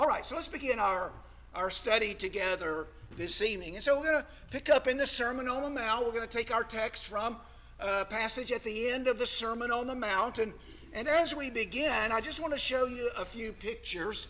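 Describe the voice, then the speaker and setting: A man's raised, projected voice at an extremely high pitch with an American accent, ordinary pitch variation and a fairly quick pace, over noticeable background noise. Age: 60s. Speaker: preacher. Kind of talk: sermon. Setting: church.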